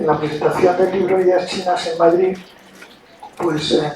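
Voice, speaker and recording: Someone talks at a moderate pace amid audible room echo and noticeable background noise. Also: man. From Spain. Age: 60s. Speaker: diplomat. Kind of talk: lecture. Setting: university auditorium with audience. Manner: hesitant fillers.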